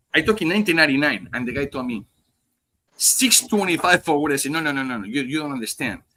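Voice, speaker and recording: A man with a strong Spanish accent, bright, sharp tone, lively intonation and a very fast pace. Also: fairly high pitch for a man. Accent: heavy Spanish. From Spain. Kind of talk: casual chat. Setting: live podcast stream.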